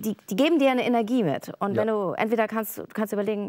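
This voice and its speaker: The background stays quiet. Her intonation is lively as the woman talks. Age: 50s. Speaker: feng shui consultant and stand-up paddler; talk show guest. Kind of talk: casual talk show interview. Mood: earnest, personal, reflective. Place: studio. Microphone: lapel.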